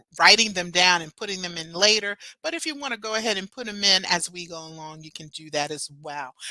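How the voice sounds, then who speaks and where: The voice sounds animated, bright and sharp, moving at a fairly quick pace. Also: woman, dry, close sound with no echo. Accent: American. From New Jersey. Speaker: festival producer. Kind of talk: online welcome presentation. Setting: video stream.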